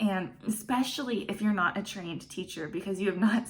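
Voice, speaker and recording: A woman with an American accent speaks at a medium pitch, with audible room echo. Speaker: online English teacher. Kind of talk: tutorial. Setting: home classroom set. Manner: animated.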